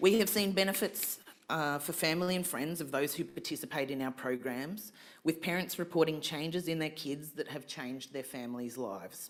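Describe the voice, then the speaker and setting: Talking fairly quickly, the speaker uses an Australian accent. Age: 40s. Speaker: community organisation representative. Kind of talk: fundraising pitch speech; audience Q&A answer. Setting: stage with live audience at fundraising event. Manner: halting.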